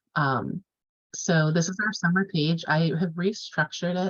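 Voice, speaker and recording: Her very deep, low pitch is somewhat breathy, and the woman keeps her intonation fairly even. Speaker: course instructor. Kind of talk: online class lecture. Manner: fast; casual, filler-heavy.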